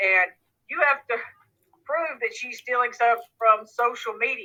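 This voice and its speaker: A woman's fairly high voice with an American accent and lively intonation. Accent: Southern US accent, others say noticeable. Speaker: judge. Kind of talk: courtroom hearing. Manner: folksy, direct.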